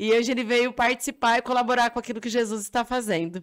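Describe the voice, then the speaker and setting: The background stays quiet. A woman talks at a very fast pace. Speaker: missionary and podcast host. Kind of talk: podcast interview. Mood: warm, welcoming, smiling. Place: studio. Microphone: studio mic.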